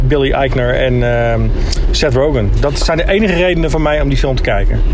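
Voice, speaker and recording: A man speaks at a moderate pace. There is noticeable background noise and audible echo from the room. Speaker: podcast co-host. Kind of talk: casual chat.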